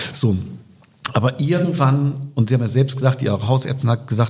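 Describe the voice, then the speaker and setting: A man with a medium-pitched voice is heard over noticeable background noise. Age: 50s. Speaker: politician and podcast co-host. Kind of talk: casual interview.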